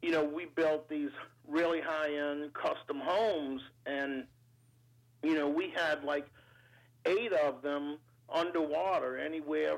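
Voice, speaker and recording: In a New Orleans accent, a man speaks very slowly with long, frequent pauses and fairly even intonation on a very clean recording with a silent background. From New Orleans, Louisiana, US South. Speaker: entrepreneur and business adviser. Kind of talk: interview. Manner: halting, many fillers.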